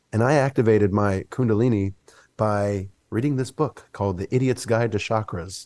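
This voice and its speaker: A normal speaking voice, this man with an American accent talks at a moderate pace and fairly low pitch with ordinary pitch variation, in a very clean recording with a silent background. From US South, Mississippi. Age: 40s. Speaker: wellness coach and musician. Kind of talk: casual chat.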